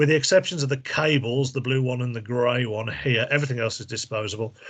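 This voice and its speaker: Over a quiet background, a man with an English accent talks at a fairly quick pace, his pitch medium and his intonation fairly even. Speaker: medical device trainer. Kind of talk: training presentation. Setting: video call.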